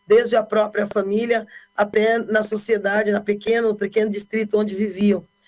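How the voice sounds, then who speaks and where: Music plays in the background as a woman speaks. She keeps a moderate pace and a flat, monotone intonation. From Brazil, Bauru, São Paulo state. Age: 50s. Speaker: politician. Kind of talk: interview.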